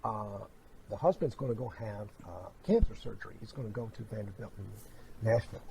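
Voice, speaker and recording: Speaking at a fairly quick pace, a man uses an ordinary speaking voice at a medium pitch, with ordinary pitch variation and big swings in loudness. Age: 60s. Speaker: clairvoyant medium. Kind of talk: psychic reading and interview chat.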